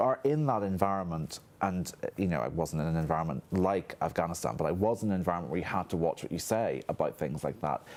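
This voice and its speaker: Very deep and low, a man's voice rushes at a very fast pace with lively intonation. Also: hardly any pauses. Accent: Northern Irish. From Northern Ireland. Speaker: historian. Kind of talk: panel discussion. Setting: studio.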